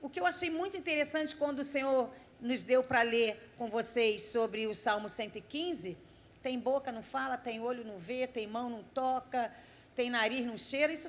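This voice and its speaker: This woman has a high-pitched voice and lively intonation. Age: 50s. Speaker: missionary preacher. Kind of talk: sermon. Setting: church service.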